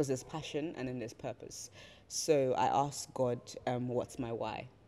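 Her voice is very deep and low, with a dark, mellow tone, ordinary pitch variation and a moderate pace. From southern England, West Sussex; England. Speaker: YouTuber and presenter; YouTuber, presenter. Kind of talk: casual chat. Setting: studio. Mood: reflective, relaxed. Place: office. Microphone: handheld.

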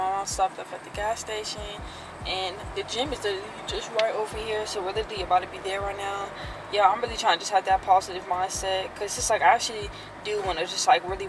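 The speech comes at a very fast pace. The sound is dry with no echo, but background noise is noticeable. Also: woman. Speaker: vlogger. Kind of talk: casual vlog chat. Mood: upbeat, motivated. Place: car. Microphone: phone near.

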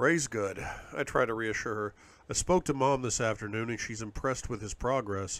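The speaker's intonation is lively while reading aloud in a natural voice.

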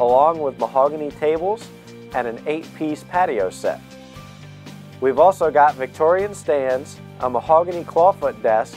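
A man's voice over background music, with long, frequent pauses. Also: moderate pace. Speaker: auctioneer. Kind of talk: auction preview announcement.

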